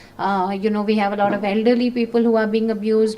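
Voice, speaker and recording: Speaking at a fairly quick pace, a woman with a fairly high pitch is heard over noticeable background noise. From northern India (Uttar Pradesh). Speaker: founder of a domestic violence support organization. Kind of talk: talk with audience questions. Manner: hesitant with many fillers.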